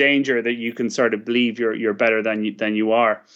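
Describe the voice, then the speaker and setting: A man with an Irish accent at a medium pitch and a fairly quick pace, over a quiet background. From West of Ireland. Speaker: startup chairman. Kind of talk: interview.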